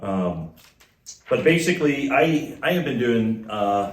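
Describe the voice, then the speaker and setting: A man with a Midwestern US accent speaks in a room with audible echo. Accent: US Midwest. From Kansas. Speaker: former missionary. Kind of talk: church talk. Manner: halting.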